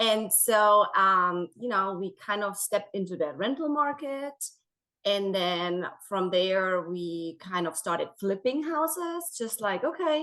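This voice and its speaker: Bright and sharp in tone, a woman's voice swings very widely in pitch. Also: medium pitch for a woman, fairly slow pace. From Germany. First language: German. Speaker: real estate agent. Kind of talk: interview.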